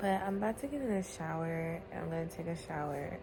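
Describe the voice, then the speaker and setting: The speech moves at a moderate pace with audible room echo. Noticeable background noise runs underneath. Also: woman. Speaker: vlogger. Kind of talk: casual vlog.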